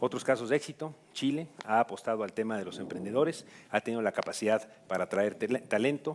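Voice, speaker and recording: A man speaks at a very fast pace in a medium pitch with ordinary pitch variation. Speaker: government official. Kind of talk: panel discussion. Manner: formal.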